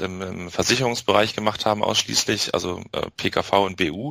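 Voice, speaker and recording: At a fairly quick pace, a man with an ordinary speaking voice talks in fairly even intonation. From northern Germany, Bremen. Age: 20s. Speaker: SEO specialist and affiliate marketer. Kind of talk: interview.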